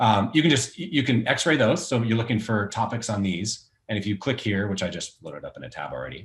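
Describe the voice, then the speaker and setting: Barely pausing, a man rushes along at a very fast pace, his fairly low voice showing vocal fry and very wide pitch swings. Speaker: recruiter. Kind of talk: tutorial. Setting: livestream with screen share.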